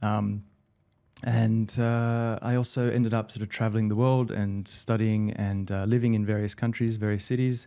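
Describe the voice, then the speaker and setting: With an Australian accent, a man talks at a medium pitch in a dark, mellow tone, his intonation monotone and flat. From Australia, Sydney. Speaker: digital director. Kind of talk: podcast interview. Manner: hesitant, many fillers.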